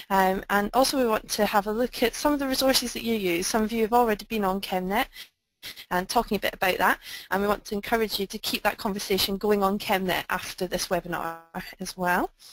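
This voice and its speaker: This woman has a Scottish accent and a medium pitch, and she speaks at a very fast pace with ordinary pitch variation. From Scotland. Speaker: webinar presenter. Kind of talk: online webinar presentation. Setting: online webinar.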